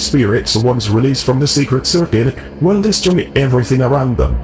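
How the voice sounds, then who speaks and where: A man's raspy, robotic put-on character voice at medium pitch, fairly quick pace, and clear background noise. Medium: video game. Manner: measured, formal.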